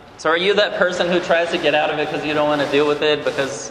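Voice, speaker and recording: Fairly even intonation with audible room echo and noticeable background noise. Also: man. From Brazil. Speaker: conference speaker. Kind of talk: talk to a men's conference session. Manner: halting, many repeated words.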